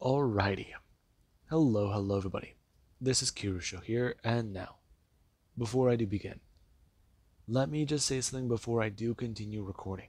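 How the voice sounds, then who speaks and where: On a very clean recording with a silent background, a soft-spoken man at a medium pitch talks at a fairly quick pace with ordinary pitch variation and long, frequent pauses. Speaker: fan-fiction storyteller. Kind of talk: story narration. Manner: soft-spoken, talking lighter; pauses, cuts for breath.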